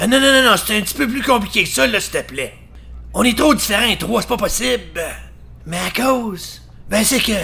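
Using a put-on character voice, a man speaks at an extremely high pitch and moderate pace. Long, frequent pauses break up his speech over light background noise. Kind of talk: comic parody dub. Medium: fan dub. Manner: hesitant, awkward, then bluntly frank.

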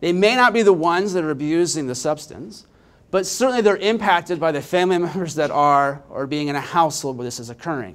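The delivery is in an American accent with lively intonation. The pace is fairly quick. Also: man. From Indiana, Richmond; Indiana. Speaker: nonprofit data executive; presenter. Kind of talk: conference presentation. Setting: stage with audience. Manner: energetic. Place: hall. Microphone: handheld.

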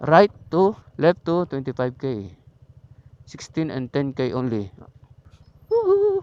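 Speaking in a Batangas accent, the voice moves at a very slow pace with lively intonation and long, frequent pauses. The sound is dry and close with no echo. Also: man, fairly high pitch for a man. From Batangas, Philippines. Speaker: motorcycle vlogger. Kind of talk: casual vlog narration. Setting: outdoors riding a motorcycle. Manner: animated.

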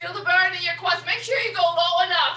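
A woman's raised, projected voice with audible room echo, over a quiet background. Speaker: fitness instructor. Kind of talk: workout coaching cues. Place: gym. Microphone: webcam.

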